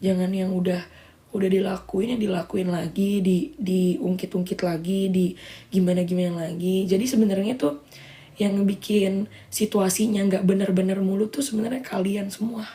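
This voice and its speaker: A woman with a somewhat breathy, dark and mellow tone speaks at a moderate pace, her medium pitch held in fairly even intonation. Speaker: social media livestreamer. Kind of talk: casual livestream chat. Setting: live stream.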